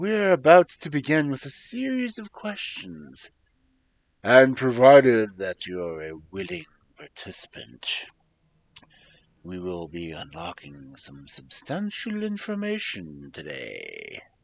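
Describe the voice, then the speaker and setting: A man puts on a character voice at a medium pitch, speaking at a fairly slow pace with big swings in loudness. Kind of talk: guided introspection narration. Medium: virtual streamer. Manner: measured, reassuring.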